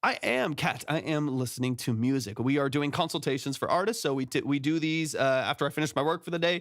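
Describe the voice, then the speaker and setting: At a very fast pace with hardly any pauses, a man with a fairly high pitch talks using ordinary pitch variation. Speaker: music producer and mix engineer. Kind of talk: livestream feedback chat. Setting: live stream. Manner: filler-heavy.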